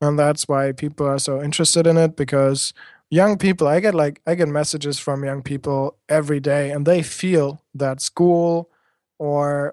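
A fairly high-pitched man speaks with a German accent at a moderate pace and fairly even intonation. The sound is dry and close with no echo, over a quiet background. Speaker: education blogger and speaker. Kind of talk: interview. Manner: halting.

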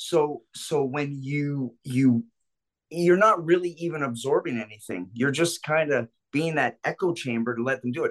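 A man with a plain, everyday voice speaks at a moderate pace, pitched fairly high with ordinary pitch variation. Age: 50s. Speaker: self-defense instructor and club security veteran. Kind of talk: casual chat.

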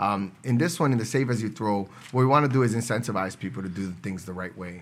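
Fairly quick and fairly low-pitched, a man speaks with an American accent and ordinary pitch variation. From New York City, Brooklyn (Williamsburg). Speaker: city council member. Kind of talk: interview.

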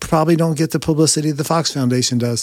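An unremarkable speaking voice at a fairly quick pace, with fairly even intonation. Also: man. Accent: American. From Ohio. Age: 60s. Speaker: person living with Parkinson's disease. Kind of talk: interview. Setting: studio.

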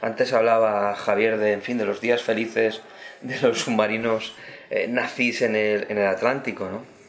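A man is speaking, and noticeable background noise can be heard. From Spain. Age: 50s. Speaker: history professor. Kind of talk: round-table discussion. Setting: bookshop event with audience.

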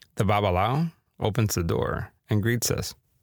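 On a very clean recording with a silent background, a man with a Spanish accent speaks in very wide pitch swings. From Miami, US. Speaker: podcast host. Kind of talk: scripted narration with casual intro.

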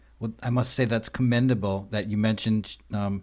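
A plain, everyday voice moves at a fairly quick pace in a very clean recording with a silent background. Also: man. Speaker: podcast host. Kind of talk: interview chat. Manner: friendly, upbeat.

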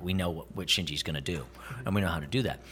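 With lively intonation, a man speaks in an animated tone. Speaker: voice actor. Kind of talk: casual convention interview. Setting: convention interview. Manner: jokey, animated.

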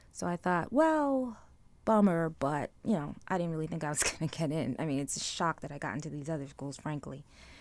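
At a moderate pace, a woman with an American accent speaks in a plain, everyday voice at a fairly low pitch, captured on a very clean recording with a silent background. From US Northeast, Brooklyn, New York. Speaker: marketing professor. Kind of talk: interview.

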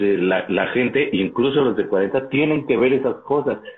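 Music plays behind a man speaking with lively intonation. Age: 40s. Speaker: podcast co-host. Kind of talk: casual chat.

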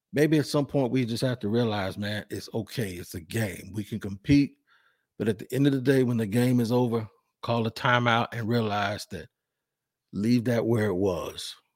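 A man speaks at a moderate pace with a medium pitch and ordinary pitch variation, recorded very cleanly against a silent background. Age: 50s. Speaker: sports podcast host. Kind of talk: solo podcast monologue. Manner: halting, with many repetitions and fillers.

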